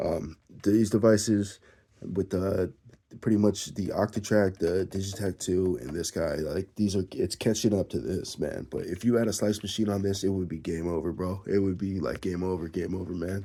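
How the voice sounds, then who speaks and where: This man talks at a moderate pace, his very deep, low voice dark and mellow with fairly even intonation. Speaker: music gear enthusiast. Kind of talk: casual vlog monologue. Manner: casual, rambling with fillers.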